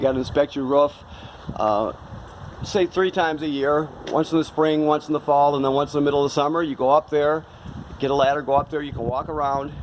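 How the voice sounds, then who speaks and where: Intonation stays fairly even while the words come at a very fast pace. Behind it there is noticeable background noise. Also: man, fairly high pitch for a man. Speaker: RV dealership salesperson. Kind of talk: product walkthrough tutorial. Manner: casual, halting with fillers.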